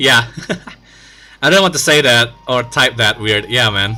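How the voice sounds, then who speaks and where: Man at a medium pitch speaking at a fairly slow pace, music in the background. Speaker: gaming streamer. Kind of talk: live stream commentary. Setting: live stream. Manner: animated.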